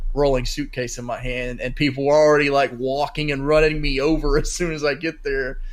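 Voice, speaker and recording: A man with a Southern US accent talks at a moderate pace, with audible room echo. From North Carolina, US South. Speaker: sports podcast co-host. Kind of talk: casual chat. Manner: rambling, halting with fillers.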